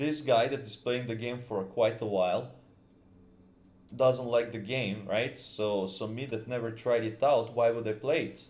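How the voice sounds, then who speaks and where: Talking at a fairly slow pace in a Serbian accent, a man with a medium pitch keeps his intonation fairly even amid audible room echo. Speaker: gaming YouTuber. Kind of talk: casual video commentary. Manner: halting, many fillers and repetitions.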